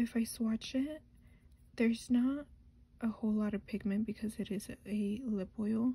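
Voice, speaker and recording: A soft-spoken, somewhat breathy voice moves at a moderate pace with fairly even intonation. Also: woman. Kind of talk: soft-spoken ASMR makeup unboxing.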